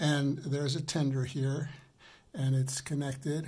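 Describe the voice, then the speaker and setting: Somewhat breathy and dark, mellow in tone, the voice moves at a fairly slow pace. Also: man. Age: 80s. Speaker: product reviewer. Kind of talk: product review. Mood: warm, enthusiastic, unhurried. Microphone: phone near.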